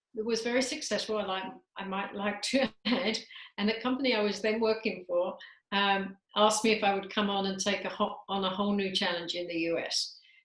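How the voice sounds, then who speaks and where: A woman with a British accent talks at a fairly quick pace and medium pitch, her intonation fairly even. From England, London. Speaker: talent management business leader. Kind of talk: interview.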